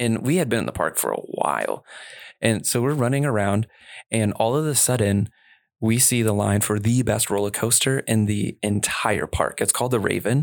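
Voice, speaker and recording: A man speaks in a normal speaking voice at a medium pitch and a moderate pace, with ordinary pitch variation. The recording is very clean with a silent background. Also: very even loudness. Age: 30s. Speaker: youth ministry director. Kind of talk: casual chat.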